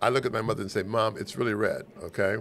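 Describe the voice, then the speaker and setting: A man talks at a very fast pace with an American accent. His intonation is lively. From Los Angeles, US. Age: 70s. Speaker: lawyer and business mentor; lawyer. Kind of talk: casual interview conversation. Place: studio. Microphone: studio mic.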